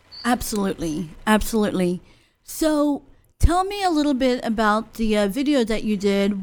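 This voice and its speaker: An ordinary speaking voice from a woman, fairly high in pitch with lively intonation at a moderate pace, on a very clean recording with a silent background. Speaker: podcast host. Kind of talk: casual interview. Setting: studio.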